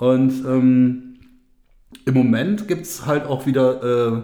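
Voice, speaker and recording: At a very slow pace, a man talks at a medium pitch amid audible room echo. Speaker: podcast co-host. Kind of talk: casual chat. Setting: home studio.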